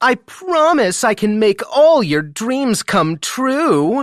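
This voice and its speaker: A squeaky, put-on character voice crawls along at a very slow pace with very wide pitch swings and very even loudness, the sound dry and close with no echo on a very clean recording with a silent background. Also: man, extremely high pitch for a man. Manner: teasing, mocking.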